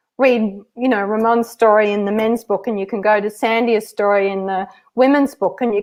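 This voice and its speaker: Here is a woman with an Australian accent. Her pitch is fairly high. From rural Australia. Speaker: author. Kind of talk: interview. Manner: animated.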